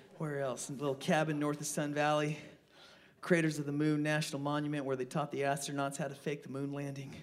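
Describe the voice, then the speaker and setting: Very fast and monotone, a man talks with an American accent at a fairly high pitch, his intonation flat. Room echo is audible. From Idaho, Twin Falls. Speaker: singer-songwriter. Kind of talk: casual stage banter between songs. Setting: stage with live audience.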